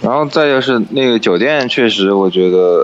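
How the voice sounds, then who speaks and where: Noticeable background noise under a man's speech. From China, Wuhan. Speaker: podcast guest, travel companion. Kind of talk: casual chat. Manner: hesitant, many fillers.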